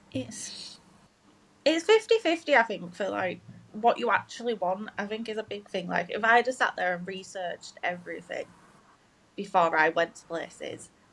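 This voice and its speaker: Speaking at a moderate pace in a strong Yorkshire accent, a woman's voice swings widely in loudness. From northern England, Leeds, Yorkshire. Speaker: game development graduate. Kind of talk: casual chat.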